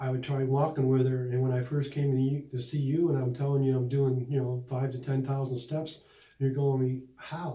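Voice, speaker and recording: A man with an American accent speaks in monotone, flat intonation. Room echo can be heard. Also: medium pitch for a man, moderate pace. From Buffalo, New York. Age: 60s. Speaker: patient. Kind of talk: testimonial interview. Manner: halting.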